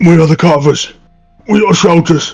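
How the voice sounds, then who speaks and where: A raspy, put-on character voice goes along at a moderate pace over faint background music. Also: man. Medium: actual play. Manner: halting, hesitant.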